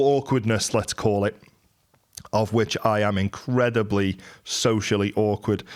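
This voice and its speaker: A man with a Merseyside accent speaks at medium pitch with fairly even intonation on a very clean recording with a silent background. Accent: Merseyside twang. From Merseyside, England. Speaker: entrepreneur. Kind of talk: monologue. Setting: live YouTube stream.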